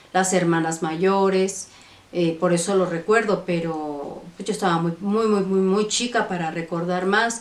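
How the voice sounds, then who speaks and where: Amid noticeable background noise and audible room echo, a woman speaks at a fairly slow pace and medium pitch with fairly even intonation. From Mexico City (born Monterrey, moved at three). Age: 60s. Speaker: vlogger. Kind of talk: life story testimony. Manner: halting, many fillers.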